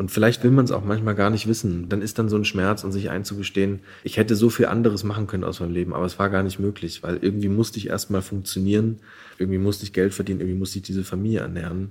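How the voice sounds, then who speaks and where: Very fast delivery in a monotone, flat intonation. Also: man, fairly low pitch for a man. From Saxony, eastern Germany (Görlitz). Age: 20s. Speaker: novelist. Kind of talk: interview.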